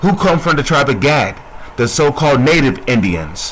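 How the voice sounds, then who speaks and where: A man with a fairly high pitch and lively intonation talks at a moderate pace, with noticeable background noise and audible room echo around him. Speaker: religious teacher. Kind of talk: bible teaching. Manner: soft-spoken; repetitive, call-and-response questions.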